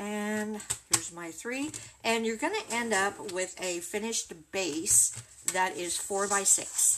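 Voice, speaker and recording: A woman speaks at a very slow pace in a warm tone, with medium pitch and ordinary pitch variation. Noticeable noise sits in the background. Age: 60s. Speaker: craft video creator. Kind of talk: tutorial. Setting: livestream. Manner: warm and chatty. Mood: friendly, relaxed.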